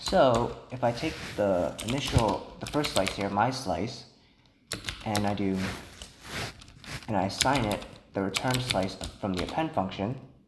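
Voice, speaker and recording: A soft-spoken man talks at a fairly slow pace in a fairly low pitch with ordinary pitch variation and long, frequent pauses, while audible room echo and noticeable background noise fill the recording. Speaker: programming instructor. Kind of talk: tutorial.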